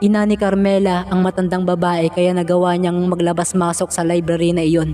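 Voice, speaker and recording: In an Ilocano accent, a man talks at a fairly quick pace with a high pitch. His intonation is monotone and flat, with music in the background. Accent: Ilocano-accented Tagalog. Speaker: horror story narrator. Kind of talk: horror story narration.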